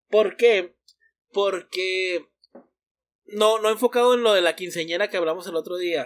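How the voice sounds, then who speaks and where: Long, frequent pauses interrupt speech delivered at a fairly slow pace. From Sonora, Mexico. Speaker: podcast co-host. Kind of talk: casual chat.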